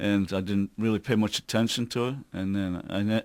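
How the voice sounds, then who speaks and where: A man with an American accent at a fairly low pitch, his intonation fairly even, on a very clean recording with a silent background. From northeast England, Newcastle (Wallsend). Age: 50s. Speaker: tribute band singer. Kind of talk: radio interview.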